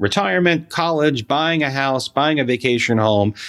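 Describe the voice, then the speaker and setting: Captured in a very clean recording with a silent background and a dry, close sound with no echo, a man with a plain, everyday voice talks at a moderate pace, his medium pitch carried by lively intonation. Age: 40s. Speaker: financial advisor. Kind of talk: casual chat.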